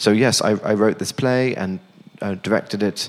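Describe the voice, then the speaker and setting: A man's fairly low-pitched voice with a British accent. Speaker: theater director.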